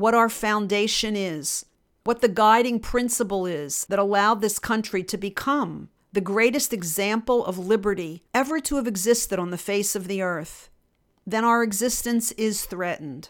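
An intense, angry voice with an American accent moves at a moderate pace with ordinary pitch variation. The recording is very clean, with a silent background. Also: woman. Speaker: podcast host, mediator and lawyer. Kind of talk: political commentary monologue. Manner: intense, sounds angry.

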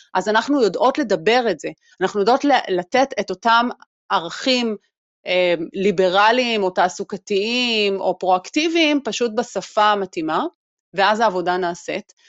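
At a moderate pace, a woman with an unremarkable speaking voice and medium pitch talks with lively intonation. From Israel, Haredi community. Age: 40s. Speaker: employment program developer, diversity expert. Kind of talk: casual interview chat.

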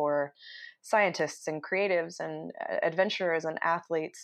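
A woman with an American accent talks at a moderate pace in a normal speaking voice, fairly low in pitch. Her intonation is fairly even, and the background is quiet. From Utah. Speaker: entrepreneur. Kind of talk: interview. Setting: home office.

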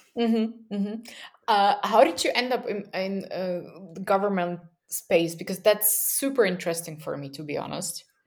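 A woman with a Slovak accent and big swings in loudness. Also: medium pitch for a woman, ordinary pitch variation, moderate pace. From Slovakia (Bratislava). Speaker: user researcher and podcast host. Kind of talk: casual interview conversation.

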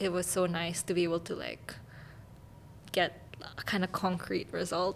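A woman speaks with vocal fry at a fairly low pitch. Her pace is fairly slow and her intonation fairly even. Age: 20s. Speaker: master's student in bioinformatics. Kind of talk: casual chat.

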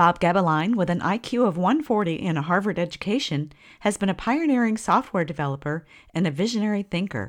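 A woman talks at a fairly quick pace in a normal speaking voice, medium in pitch. Her intonation is lively, and the recording is very clean with a silent background. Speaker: podcast host. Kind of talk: interview.

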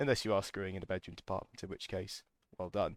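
A man with a British accent speaks at a fairly low pitch. The recording is very clean and silent behind him, with a dry, close sound and no echo. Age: 20s. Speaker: podcast host. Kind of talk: casual monologue.

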